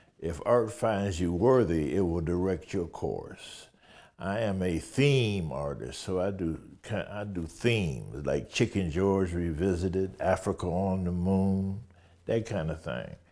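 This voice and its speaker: This man's voice is very deep and low, with a dark, mellow tone. He talks at a fairly slow pace with ordinary pitch variation. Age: 80s+. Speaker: painter and sculptor. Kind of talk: interview. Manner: halting, with fillers.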